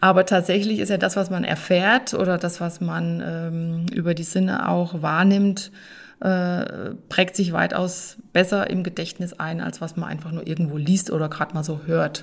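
A woman talks at a moderate pace with fairly low pitch and fairly even intonation. The recording is very clean, with a silent background. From Hessian Rhön, Germany. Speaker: organic farmer. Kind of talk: podcast interview. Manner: hesitant with fillers.

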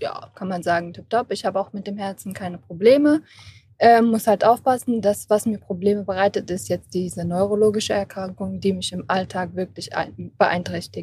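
A woman's somewhat breathy voice at medium pitch and moderate pace, with ordinary pitch variation and big swings in loudness. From Germany, Kassel. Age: 20s. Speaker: patient with rare neuromuscular disease. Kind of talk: interview. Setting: recorded at an event.

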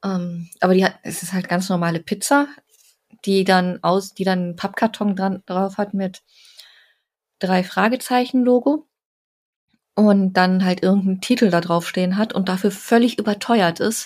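A woman's medium-pitched voice with ordinary pitch variation, a fairly slow pace and long, frequent pauses. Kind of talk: casual chat.

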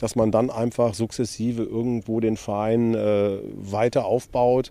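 Here a man speaks at a medium pitch with a dark, mellow tone. His intonation is fairly even. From western Germany, Velbert between Düsseldorf and Essen. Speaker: former professional goalkeeper. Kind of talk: casual interview.

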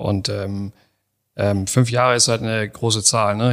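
A man with fairly low pitch and fairly even intonation is heard in a very clean recording with a silent background. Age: 40s. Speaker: startup founder. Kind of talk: interview conversation. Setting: in person, same room. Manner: hesitant, many fillers.

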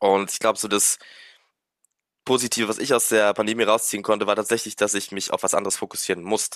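A man speaks very fast with a fairly low pitch and monotone, flat intonation, broken by long, frequent pauses. The recording is very clean, with a silent background. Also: dry, close sound with no echo. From Luxembourg. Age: 20s. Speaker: music student and drummer running an online business. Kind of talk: interview. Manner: casual, many fillers.

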